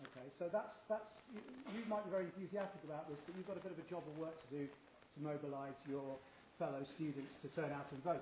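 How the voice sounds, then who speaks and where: A man's fast British speech, very fast in pace and high in pitch, with lively intonation, audible room echo and noticeable background noise. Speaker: professor chairing a debate. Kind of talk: debate chairing remarks. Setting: university hall with audience. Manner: hesitant, many repetitions and fillers.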